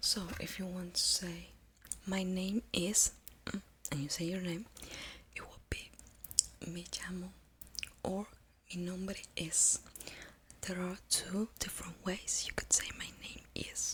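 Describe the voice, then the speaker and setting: Long, frequent pauses break up delivery that proceeds at a very slow pace. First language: Spanish. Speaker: ASMR creator teaching Spanish. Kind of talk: ASMR tutorial. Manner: soft-spoken.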